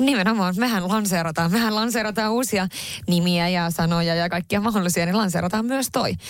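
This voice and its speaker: A woman with a Swedish accent speaks at a moderate pace and medium pitch, her loudness very even and her pitch varying in an ordinary way. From northern Finland. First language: Swedish (speaking Finnish). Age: 30s. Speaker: podcast co-host and entrepreneur. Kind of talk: casual chat.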